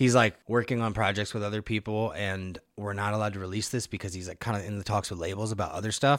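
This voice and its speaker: A man's fairly low voice with an American accent, at a very fast pace with hardly any pauses and fairly even intonation. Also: very clean recording, silent background. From Nebraska (Omaha). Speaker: rapper. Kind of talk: casual chat.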